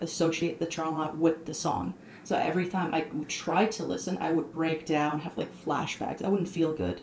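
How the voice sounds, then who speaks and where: Over noticeable background noise, a woman with a fairly low pitch and ordinary pitch variation talks at a moderate pace with hardly any pauses. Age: 20s. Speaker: artist. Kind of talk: podcast interview, personal testimony.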